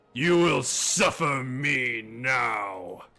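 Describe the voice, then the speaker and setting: A man's put-on character voice at medium pitch. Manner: imposing, menacing.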